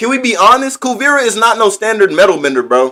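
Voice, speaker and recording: A man uses a raised, projected voice with a bright, sharp tone and an extremely high pitch. He moves at a fairly quick pace. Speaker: livestreamer. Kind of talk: live stream chat reading comments. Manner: animated; stuttering a little.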